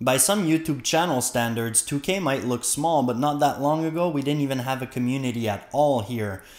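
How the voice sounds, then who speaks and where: A man with a slight French Canadian accent, medium in pitch with ordinary pitch variation, at a fairly quick pace. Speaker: science YouTuber. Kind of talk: casual chat to viewers.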